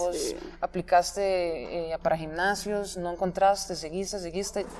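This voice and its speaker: A woman speaks with a Costa Rican accent. Her pitch is medium and her pace fairly slow. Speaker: podcast host. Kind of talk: interview.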